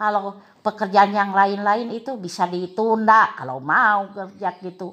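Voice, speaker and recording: At a fairly slow pace, a woman with a bright, sharp tone speaks at a medium pitch, with ordinary pitch variation and big swings in loudness. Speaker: primary school teacher. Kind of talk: casual interview. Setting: at home.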